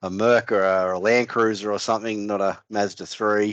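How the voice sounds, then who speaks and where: Against a quiet background, a man with an Australian accent speaks at a fairly low pitch. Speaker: financial adviser, podcast co-host. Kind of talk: casual podcast chat.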